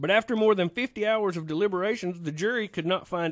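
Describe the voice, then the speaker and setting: Recorded with a dry, close sound, no echo and a quiet background, a man with a North Carolina accent talks with ordinary pitch variation. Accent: Southern US (North Carolina). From North Carolina, US South. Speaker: radio talk show host. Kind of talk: call-in radio conversation; news reading.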